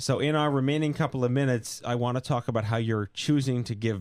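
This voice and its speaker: The speaker uses a normal speaking voice with ordinary pitch variation. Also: man. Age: 40s. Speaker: podcast host. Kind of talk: interview.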